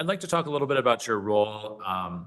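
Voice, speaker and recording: With a bright, sharp tone and a fairly low pitch, a man talks at a very fast pace with very wide pitch swings. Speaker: prosecutor. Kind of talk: courtroom examination. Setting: courtroom.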